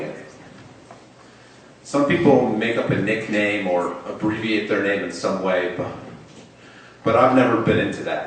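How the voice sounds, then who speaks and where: With audible room echo, a man speaks at a moderate pace and with ordinary pitch variation. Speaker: storyteller. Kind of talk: storytelling. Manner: halting, with occasional blocks and repetitions.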